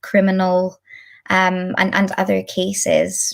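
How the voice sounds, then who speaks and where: Moving at a very slow pace, a woman speaks in a Scottish accent. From Scotland. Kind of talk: lecture. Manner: deliberately slow.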